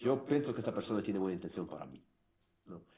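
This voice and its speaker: With a non-native accent, a man talks in a dark, mellow tone marked by vocal fry and lively intonation. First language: English (speaking Spanish). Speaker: former marketing director. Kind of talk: interview. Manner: halting.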